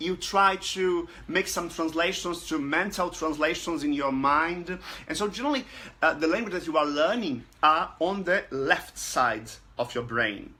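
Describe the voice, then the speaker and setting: The intonation is lively. The pace is fairly slow. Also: man, high pitch for a man. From Brazil. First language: Portuguese. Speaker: language learning group administrator. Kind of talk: casual talk to camera. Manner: halting, many fillers.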